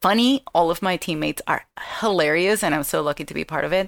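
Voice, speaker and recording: A woman's lively intonation in a dry, close sound with no echo. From Venezuela. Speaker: comedian, actress and podcaster. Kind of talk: casual chat on live call-in show.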